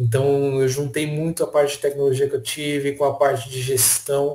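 Fairly high male voice, somewhat breathy, with a dark, mellow tone. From São Paulo state, Brazil (Franco da Rocha). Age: 30s. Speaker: technology professional. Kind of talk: casual interview chat.

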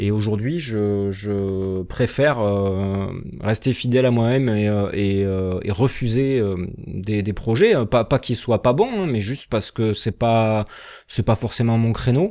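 This man has a fairly low, dark and mellow voice with ordinary pitch variation. He speaks very slowly. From southwest France (Béarn). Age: 30s. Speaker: former teacher turned video producer. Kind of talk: interview. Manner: hesitant, many fillers and repetitions.

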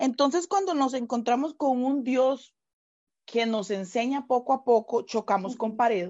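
Intonation is lively as a woman talks in a high pitch. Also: moderate pace. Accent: Costa Rican. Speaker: pastor. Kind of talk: casual chat.

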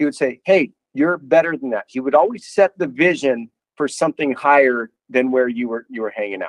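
A man speaks with an American accent and a fairly high pitch. His intonation is lively. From northern Idaho. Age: 50s. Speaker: college football head coach. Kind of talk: interview. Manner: halting.

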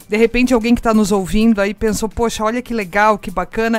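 A woman talks in a fairly high pitch with an animated tone. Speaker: radio host. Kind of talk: casual interview.

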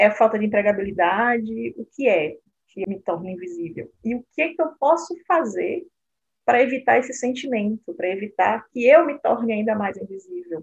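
Somewhat breathy and fairly high-pitched, a woman talks at a moderate pace with very wide pitch swings. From Brazil. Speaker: nonprofit president. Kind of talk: casual interview.

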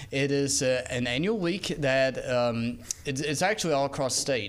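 A man speaks with a Southern US accent. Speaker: radio co-host.

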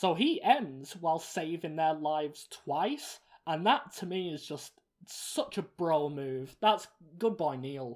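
Someone speaks very slowly with an English accent. The recording is very clean, with a silent background. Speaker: film review podcast host. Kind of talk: casual chat.

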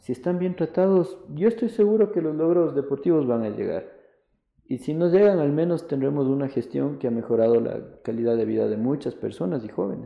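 The man's voice sits fairly high and his pitch swings very widely. He moves along at a fairly quick pace. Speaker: businessman and football club president. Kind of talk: interview. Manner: hesitant, many fillers.

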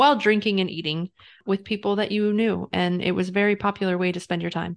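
Against a quiet background, a woman uses an ordinary speaking voice at a medium pitch, with fairly even intonation and a fairly quick pace. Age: 30s. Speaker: podcast co-host. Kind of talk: casual chat.

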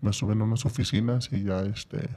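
A man's somewhat breathy, medium-pitched voice stays fairly even in its intonation. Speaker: former prisoner. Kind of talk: personal testimony in casual interview.

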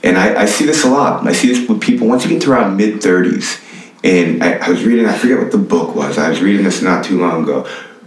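Talking at a very fast pace with very even loudness, a man is heard with audible room echo and noticeable background noise. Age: 20s. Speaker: strength and conditioning coach, former football player. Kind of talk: casual interview.

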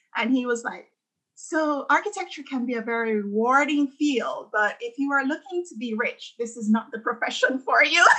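Raised and projected, a woman's high voice carries lively intonation. She speaks at a moderate pace. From Jamaica. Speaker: architect and dancer. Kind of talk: casual interview about personal story.

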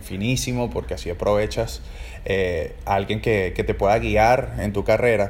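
In a Caracas accent, a man talks at a moderate pace. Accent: Venezuelan Spanish (Caracas). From Venezuela, Caracas. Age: 30s. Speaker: podcast host and orchestra trumpeter. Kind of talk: casual solo monologue.

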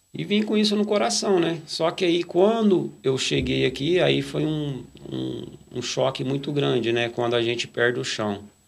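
A man speaks fairly slowly while noticeable background noise continues around him. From Brazil, interior of São Paulo state (Nuporanga/Brodowski). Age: 40s. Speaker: church lay worker. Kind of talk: testimony. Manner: halting, frequent fillers.

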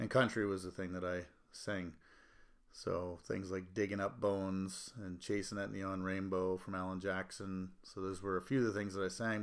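In a very clean recording with a silent background, a man with a plain, everyday voice and fairly low pitch speaks at a moderate pace. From Canada, Annapolis Valley, Nova Scotia. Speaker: country music artist. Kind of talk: casual interview.

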